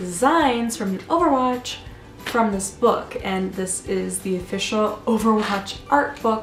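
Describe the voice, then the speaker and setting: Music plays behind a woman speaking at a fairly slow pace. Her pitch is fairly high, with ordinary variation. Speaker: art student and vlogger. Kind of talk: casual talk to camera. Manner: rambling.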